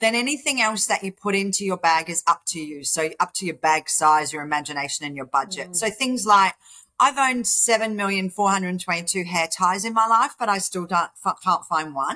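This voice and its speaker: A woman with an Australian accent and a bright, sharp tone, at a moderate pace. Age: 50s. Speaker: charity founder. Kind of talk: interview.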